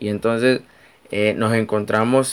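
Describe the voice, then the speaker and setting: This man has a Nicaraguan accent and a medium pitch. He talks at a fairly slow pace with fairly even intonation. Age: 20s. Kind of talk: devotional talk.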